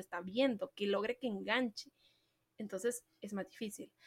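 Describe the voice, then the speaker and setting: An animated tone at a moderate pace, with ordinary pitch variation and a dry, close sound free of echo. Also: woman. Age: 20s. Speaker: marketing podcast host. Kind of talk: solo podcast talk.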